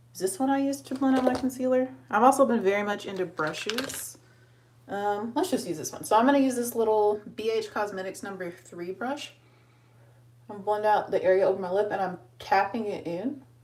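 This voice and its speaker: A woman speaks at a fairly quick pace with a fairly high pitch and ordinary pitch variation. Noticeable background noise runs underneath. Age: 20s. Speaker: beauty vlogger. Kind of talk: makeup tutorial. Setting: live video stream. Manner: fast.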